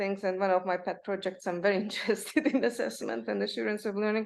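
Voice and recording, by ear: With vocal fry and a medium pitch, a woman talks at a fairly quick pace.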